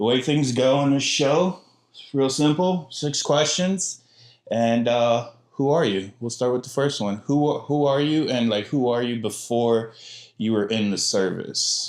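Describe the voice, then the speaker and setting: A man talks at medium pitch in an unremarkable speaking voice with ordinary pitch variation and a fairly slow pace. The recording is very clean, with a silent background. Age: 30s. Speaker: podcast host, military veteran. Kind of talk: casual chat.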